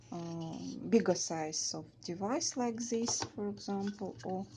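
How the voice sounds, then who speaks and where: A woman with a Russian accent speaks at a very slow pace in a medium-pitched, somewhat breathy voice with a dark, mellow tone and lively intonation. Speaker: beading craft tutor. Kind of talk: tutorial. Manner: halting, many fillers.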